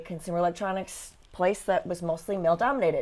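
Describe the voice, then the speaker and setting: In a normal speaking voice, a woman speaks at a moderate pace and medium pitch. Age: 50s. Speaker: business executive and bodybuilder. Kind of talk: casual interview.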